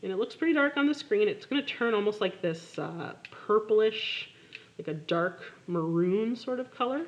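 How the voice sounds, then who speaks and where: A woman talks at a moderate pace with a fairly high pitch. Her pitch swings very widely. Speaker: art teacher. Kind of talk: tutorial. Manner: casual.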